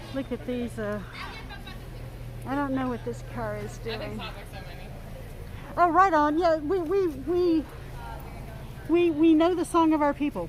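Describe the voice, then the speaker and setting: Noticeable background noise accompanies a woman with an American accent who speaks at a fairly slow pace with long, frequent pauses. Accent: Southern accent, comes out more when annoyed. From US South, Mississippi Gulf Coast. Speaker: livestreamer. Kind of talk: live stream walkthrough. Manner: halting, many fillers and repeats.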